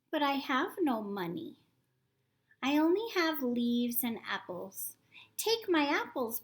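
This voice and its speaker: In a put-on character voice, a woman speaks at a high pitch with very wide pitch swings and long, frequent pauses. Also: fairly slow pace. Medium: read story. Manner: gentle, tender.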